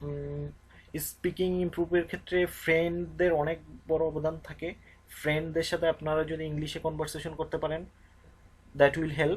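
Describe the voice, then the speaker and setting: In a Bengali accent, the speaker moves at a fairly slow pace with long, frequent pauses. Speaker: YouTube English teacher. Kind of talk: tutorial. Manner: halting, frequent fillers.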